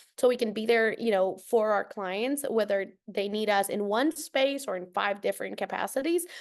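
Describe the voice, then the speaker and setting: A woman's fairly high voice with a Spanish accent, ordinary pitch variation, and a quiet background. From Costa Rica, San Jose. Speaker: nonprofit program director. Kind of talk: podcast interview.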